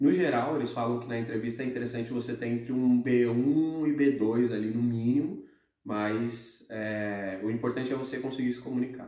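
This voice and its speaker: With audible room echo, a man speaks at a moderate pace with fairly even intonation. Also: medium pitch for a man. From Brazil. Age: 20s. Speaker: expat office worker. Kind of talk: casual Q&A chat.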